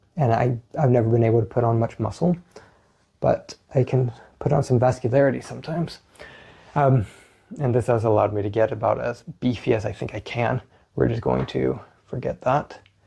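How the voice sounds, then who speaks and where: This soft-spoken man has a medium pitch, a dark, mellow tone and vocal fry. He talks at a fairly quick pace with fairly even intonation and long, frequent pauses. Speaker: physical therapist and fitness coach. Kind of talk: workout tutorial. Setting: home at night.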